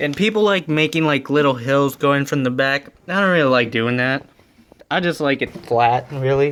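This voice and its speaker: At a moderate pace, a man with a normal speaking voice talks at a fairly high pitch and very even loudness. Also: ordinary pitch variation. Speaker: aquarium hobbyist YouTuber. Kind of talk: tutorial. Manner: casual, filler-heavy.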